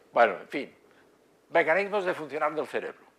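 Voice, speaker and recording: Speaking in a Catalan accent, a man uses a high voice with ordinary pitch variation. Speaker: psychiatry professor. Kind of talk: lecture. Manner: halting, many fillers.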